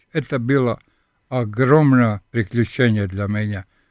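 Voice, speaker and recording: This man has a Serbian accent and a medium pitch. The background is quiet. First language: Serbian (speaking Russian). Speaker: sculptor and professor. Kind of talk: radio interview. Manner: halting.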